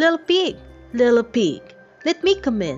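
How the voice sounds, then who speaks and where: In a put-on character voice, a female-sounding voice at a high pitch makes very wide pitch swings at a moderate pace over faint music in the background. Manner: menacing, wheedling.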